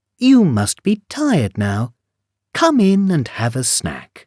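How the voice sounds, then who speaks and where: A man puts on a high-pitched character voice and talks at a fairly slow pace in a very clean recording with a silent background. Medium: read story.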